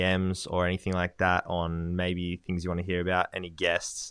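Very clean and set against a silent background, this recording features a man with an Australian accent. His pitch is very deep and low. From Australia, Gold Coast. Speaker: podcast co-host, property industry intern. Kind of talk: casual chat.

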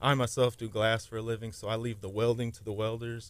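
A man talks at a fairly quick pace. He has a Texan accent. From Texas. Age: 30s. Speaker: custom car fabricator. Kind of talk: casual radio interview.

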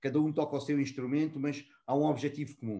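A man's normal speaking voice, fairly high in pitch. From born in Mozambique, raised in Portugal (Lisbon south bank). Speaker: customer experience and contact center professional. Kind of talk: casual interview.

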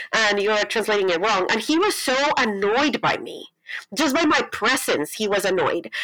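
Her intonation is lively. This woman speaks with a fairly high pitch. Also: moderate pace. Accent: Colombian. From Colombia. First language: Spanish. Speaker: pastor and writer. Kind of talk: interview conversation. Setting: video call.

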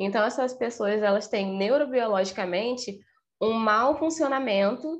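Against a quiet background, a woman talks at a moderate pace with ordinary pitch variation in a plain, everyday voice. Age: 20s. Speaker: psychologist. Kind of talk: podcast interview.

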